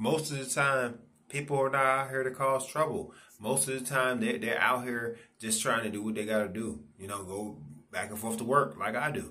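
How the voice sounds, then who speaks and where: A man speaks in a bright, sharp tone. His pitch shows ordinary variation. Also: moderate pace. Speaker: vlogger. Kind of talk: casual vlog rant. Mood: frustrated, indignant. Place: home room. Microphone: phone near.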